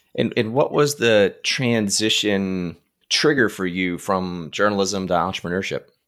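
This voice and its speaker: A normal speaking voice with ordinary pitch variation on a very clean recording with a silent background. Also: man, fairly low pitch for a man, fairly slow pace. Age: 40s. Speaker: podcast host. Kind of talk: casual interview.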